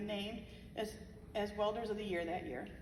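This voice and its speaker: Against noticeable background noise and audible room echo, a woman with an American accent speaks at a fairly quick pace. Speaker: bereaved mother. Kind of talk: memorial speech. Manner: fast.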